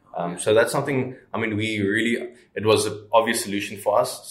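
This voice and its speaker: A man speaks over noticeable background noise. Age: 20s. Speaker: startup co-founder. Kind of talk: interview. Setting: outdoors.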